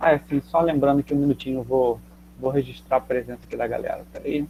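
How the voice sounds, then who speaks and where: The man's pitch is fairly high, his intonation fairly even, and his pace very fast. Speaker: geography teacher. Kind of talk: online class. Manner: casual, halting with fillers.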